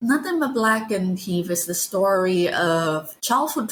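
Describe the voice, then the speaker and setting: The speaker has a non-native accent and lively intonation. The recording is very clean with a silent background. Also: woman. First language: not English. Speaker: novelist and game writer. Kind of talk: interview.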